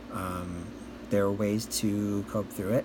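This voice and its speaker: At a very slow pace, a man speaks in a fairly low, somewhat breathy voice with fairly even intonation. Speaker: DJ and MC. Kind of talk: casual talk to camera.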